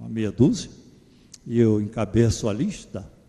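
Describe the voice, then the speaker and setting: A fairly slow, somewhat breathy male voice with a dark, mellow tone. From Pernambuco, Brazil (Garanhuns). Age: 70s. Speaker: psychologist giving a lecture. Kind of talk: lecture. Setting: church. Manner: conversational, informal.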